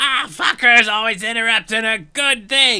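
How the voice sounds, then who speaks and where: In a put-on character voice, a man hisses at a moderate pace, his pitch extremely high. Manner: hissing.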